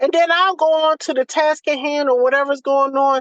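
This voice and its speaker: A woman with a Southern US accent talks in a high, animated voice at a fairly quick pace, with a dry, close sound and no echo. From US South. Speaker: doula. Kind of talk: casual chat. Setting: video call.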